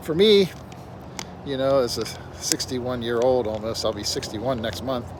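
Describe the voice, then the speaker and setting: Speaking at a moderate pace with long, frequent pauses and ordinary pitch variation, a man is heard over noticeable background noise and audible room echo. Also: medium pitch for a man. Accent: American. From Pennsylvania, US. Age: 60s. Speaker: vlogger. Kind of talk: casual monologue. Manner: rambling, halting.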